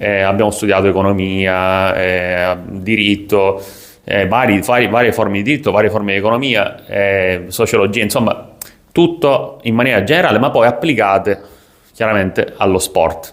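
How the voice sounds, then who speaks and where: This man speaks at a fairly low pitch with ordinary pitch variation. His loudness stays very even, and his pace is moderate. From Sicily, Italy. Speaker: sports business content creator. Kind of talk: casual vlog monologue. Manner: hesitant, many fillers.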